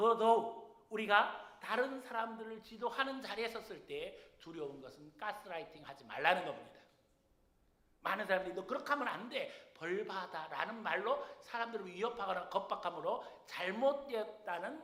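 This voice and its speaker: In a room with audible echo, a man with a high pitch projects his raised voice at a moderate pace, with ordinary pitch variation and big swings in loudness. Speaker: senior pastor. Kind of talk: sermon. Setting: church.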